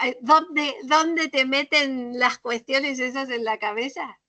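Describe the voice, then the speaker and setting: With a raised, projected voice and a bright, sharp tone, a woman speaks at a high pitch with lively intonation at a fairly slow pace, in a dry, close sound with no echo. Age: 60s. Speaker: literature workshop teacher. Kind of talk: workshop discussion. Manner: animated.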